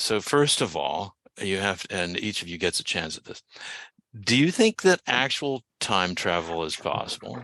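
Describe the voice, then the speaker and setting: Bright, sharp tone with lively intonation and big swings in loudness. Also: man, fairly low pitch for a man, fairly slow pace, dry, close sound with no echo. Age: 60s. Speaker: podcast host. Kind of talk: podcast interview.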